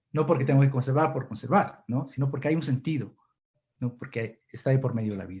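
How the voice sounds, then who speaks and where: A man is talking. Some breathiness comes through in his voice. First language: Kichwa (runashimi) (speaking Spanish). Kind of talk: Q&A answer in online seminar. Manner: halting, many repetitions.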